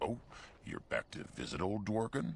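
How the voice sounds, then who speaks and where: A man puts on a character voice at a fairly low pitch, speaking at a moderate pace over clear background noise. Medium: video game.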